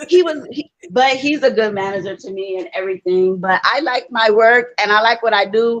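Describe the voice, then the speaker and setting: A woman with a Louisiana accent speaks at a moderate pace with hardly any pauses. Her fairly high pitch comes with lively intonation. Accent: Louisiana Southern US. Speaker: viewer joining a live stream, hotel cook. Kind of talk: casual chat.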